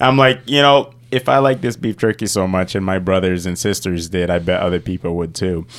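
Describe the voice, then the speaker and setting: With an American accent, the speaker moves at a fairly quick pace with lively intonation and hardly any pauses. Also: man, very deep, low pitch for a man. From Rockford, Illinois. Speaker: entrepreneur. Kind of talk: interview.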